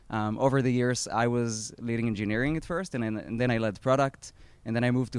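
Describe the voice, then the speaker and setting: At a very fast pace, a man with an Israeli accent talks at a medium pitch. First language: Hebrew. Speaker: startup founder. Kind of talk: talk at an event. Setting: outdoor live event with audience. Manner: hesitant, many fillers.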